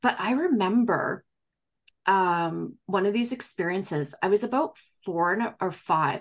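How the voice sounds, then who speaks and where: At a fairly slow pace, a woman with an ordinary speaking voice talks at medium pitch with ordinary pitch variation against a quiet background. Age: 40s. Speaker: psychic medium. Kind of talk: casual interview conversation.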